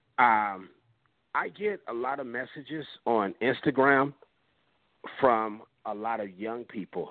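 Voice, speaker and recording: Very slowly, a man talks with ordinary pitch variation. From Compton, Los Angeles, US West Coast. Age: 50s. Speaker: rapper. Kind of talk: interview.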